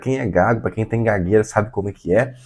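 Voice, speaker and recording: This man's voice sits fairly low in pitch. There is vocal fry in it. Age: 20s. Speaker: vlogger. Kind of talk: personal testimony to camera. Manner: halting.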